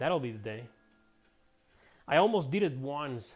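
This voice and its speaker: The speaker uses lively intonation at a moderate pace. Music plays in the background. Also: man. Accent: non-native. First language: Spanish. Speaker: gaming streamer and writer. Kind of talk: casual gameplay commentary. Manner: casual, chatty.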